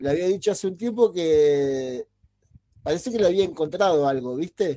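This man's voice is dark and mellow, with lively intonation. He talks at a moderate pace. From Buenos Aires, Argentina (born in Mendoza). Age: 40s. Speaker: podcast co-host. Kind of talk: casual chat. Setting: live stream.

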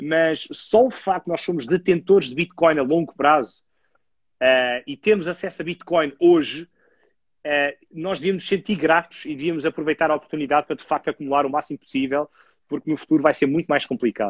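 His pitch sits fairly high, varying in an ordinary way. The man keeps up a fairly quick pace. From Portugal, Lisbon. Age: 30s. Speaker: author and podcaster on cryptocurrency. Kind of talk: casual chat.

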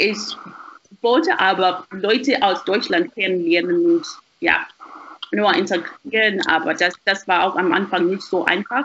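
A woman speaks fairly slowly at a medium pitch, with ordinary pitch variation, very even loudness and long, frequent pauses. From Zimbabwe. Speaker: university student. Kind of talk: casual chat. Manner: halting, repeats words.

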